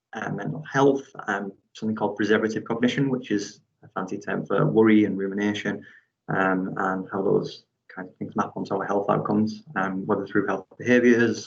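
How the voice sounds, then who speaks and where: A man with a northeast English accent speaks at a moderate pace and a fairly low pitch, with fairly even intonation and vocal fry. His loudness swings widely. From northeast England. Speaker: PhD researcher and football referee. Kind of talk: academic seminar talk. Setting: video call.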